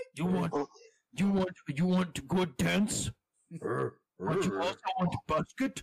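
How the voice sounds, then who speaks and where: Put on as a character voice, this is delivered at a very slow pace with long, frequent pauses. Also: man, high pitch for a man. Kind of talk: broken, primitive speech.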